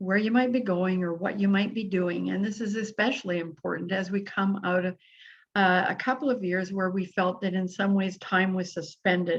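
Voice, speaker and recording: A woman talks at a moderate pace and medium pitch, her voice somewhat breathy and her intonation fairly even. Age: 70s. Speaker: podcast host. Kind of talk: solo podcast monologue. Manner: casual, hesitant with fillers.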